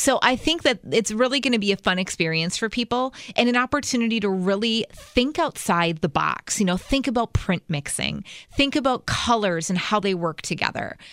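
In an ordinary speaking voice, a woman talks at a moderate pace with a fairly high pitch and lively intonation, the sound dry and close with no echo. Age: 40s. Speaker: fashion stylist and blogger. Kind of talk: casual chat.

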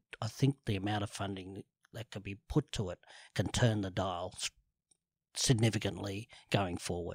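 A man with an Australian accent speaks at a moderate pace, his fairly low voice somewhat breathy and his intonation fairly even. Long, frequent pauses and big swings in loudness stand out in a very clean, dry, close recording with a silent background and no echo. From Sydney, Australia (eastern suburbs). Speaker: cancer awareness advocate. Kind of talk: interview.

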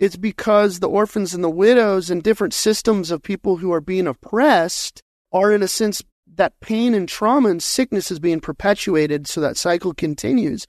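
With an American accent and a high pitch, a man speaks at a moderate pace with ordinary pitch variation, in a dry, close sound with no echo against a quiet background. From Colorado, US. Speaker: pastor and trauma-informed coach. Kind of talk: interview conversation.

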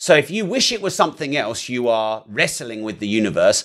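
A man talks at a moderate pace and medium pitch, with a plain, everyday voice. The recording is very clean, with a silent background. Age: 40s. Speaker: entrepreneur and property investor. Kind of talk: interview conversation. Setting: studio.

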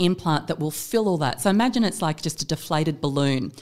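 A woman with an Australian accent speaks at a fairly quick pace, her fairly low pitch carrying lively intonation. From Perth, Western Australia. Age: 40s. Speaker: plastic surgery clinic manager. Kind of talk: casual interview chat. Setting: podcast studio.

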